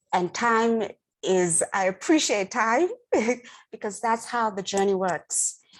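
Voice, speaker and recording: A woman with a fairly high pitch speaks at a very slow pace, with long, frequent pauses. Her pitch variation is ordinary, and the recording is very clean with a silent background. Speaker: stroke survivor foundation director. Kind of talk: panel discussion. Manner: halting.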